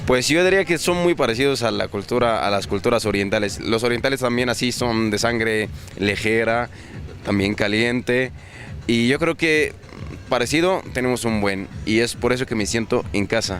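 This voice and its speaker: A man's medium-pitched voice at a moderate pace with lively intonation, against noticeable background noise. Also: very even loudness. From Egypt. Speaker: businessman. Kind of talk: interview.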